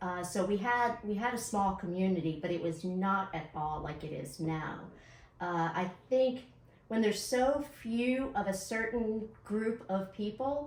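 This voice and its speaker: Over noticeable background noise and audible room echo, a woman speaks at a medium pitch and fairly slow pace with lively intonation. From Knoxville, East Tennessee (from age ten; early years New York). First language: Hindi. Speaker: city council member. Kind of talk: interview.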